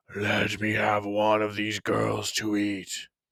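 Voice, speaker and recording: Putting on a character voice, a man rumbles in a fairly low pitch at a fairly slow pace. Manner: menacing, hungry.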